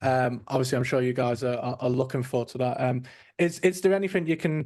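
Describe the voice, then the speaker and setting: A man with a British accent at medium pitch and a very fast pace, with ordinary pitch variation over a quiet background. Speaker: podcast host. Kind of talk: casual interview chat.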